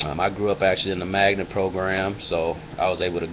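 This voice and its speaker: With an American accent, a man talks fairly slowly in a fairly low pitch over noticeable background noise. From US Midwest, Flint, Michigan. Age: 30s. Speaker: video blogger. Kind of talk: casual personal vlog monologue. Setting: webcam recording. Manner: hesitant, many fillers.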